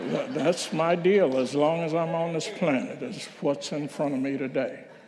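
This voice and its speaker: Audible room echo around fairly slow speech with lively intonation. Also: man. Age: 80s+. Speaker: minister. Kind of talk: reflective talk at a church service. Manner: conversational, with hesitations.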